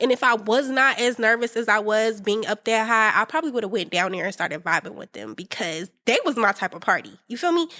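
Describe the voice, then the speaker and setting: A woman's fairly high, bright, sharp voice with an American accent, an animated tone and lively intonation at a fairly quick pace, with big swings in loudness, in a very clean recording with a silent background and a dry, close sound with no echo. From North Carolina. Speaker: podcast host. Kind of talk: casual monologue podcast.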